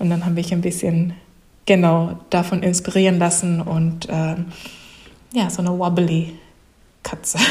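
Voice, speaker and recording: Amid audible room echo, a woman with a fairly low pitch speaks at a fairly slow pace in a monotone, flat intonation, with long, frequent pauses. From Japan, childhood in Russia, USA, Saudi Arabia, France. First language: Japanese (speaking German). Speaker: comic artist and illustrator. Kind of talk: interview. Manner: halting, many fillers.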